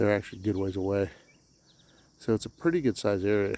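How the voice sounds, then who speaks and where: Speaking quietly at a very fast pace, a man has a dark, mellow tone and a fairly low pitch. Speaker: camping vlogger. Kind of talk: casual walkthrough vlog. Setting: outdoors. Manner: halting.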